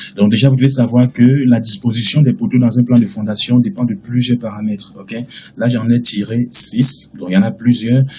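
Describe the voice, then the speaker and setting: Against noticeable background noise, a man speaks at medium pitch with ordinary pitch variation and hardly any pauses. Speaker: architecture software instructor. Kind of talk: tutorial. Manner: fast.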